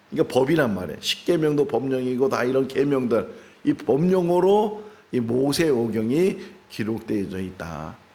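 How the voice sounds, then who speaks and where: In a room with audible echo, a man of medium pitch speaks at a moderate pace, his dark, mellow tone marked by very wide pitch swings. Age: 60s. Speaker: pastor. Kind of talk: sermon. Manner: conversational.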